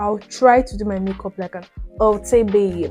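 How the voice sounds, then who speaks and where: Music plays in the background as a woman speaks in a monotone, flat intonation. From Nigeria (Benue state). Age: 20s. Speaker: YouTuber. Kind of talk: casual storytime talk to camera while doing makeup.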